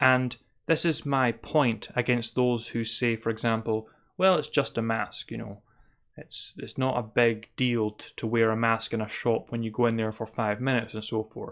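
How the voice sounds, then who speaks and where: On a very clean recording with a silent background, a man speaks with a Scottish accent. His pitch is medium, his intonation fairly even, and his pace moderate. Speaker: spirituality podcaster. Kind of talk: monologue commentary.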